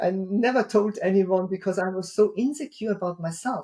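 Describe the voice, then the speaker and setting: A woman with a dark, mellow tone and a somewhat breathy voice speaks at a fairly quick pace. Her pitch is medium and her intonation lively. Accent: strong non-native. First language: not English. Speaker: keynote speaker and author. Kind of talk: interview podcast.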